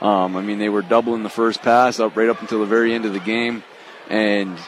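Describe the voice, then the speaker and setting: Fairly low male voice at a moderate pace, fairly even in intonation, over noticeable background noise. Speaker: high school basketball head coach. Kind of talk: post-game coach interview. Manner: halting, with many fillers and repeats.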